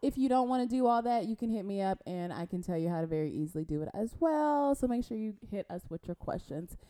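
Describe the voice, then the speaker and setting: A woman speaks very fast at a medium pitch, hardly pausing, with very wide pitch swings. The sound is dry and close, with no echo. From Compton, California. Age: 30s. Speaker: podcast co-host. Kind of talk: casual chat.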